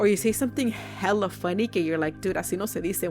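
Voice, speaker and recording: Music plays in the background. A woman speaks with an American accent. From California. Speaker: podcast host. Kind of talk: casual podcast talk. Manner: casual, code-switching between English and Spanish.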